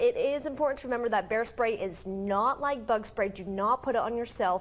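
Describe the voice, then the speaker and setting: This woman has an unremarkable speaking voice, pitched fairly high, with an American accent. She talks at a fairly quick pace with ordinary pitch variation. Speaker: morning news anchor and reporter. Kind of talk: TV news anchor and reporter delivery. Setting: TV studio morning show. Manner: upbeat, clear, professional.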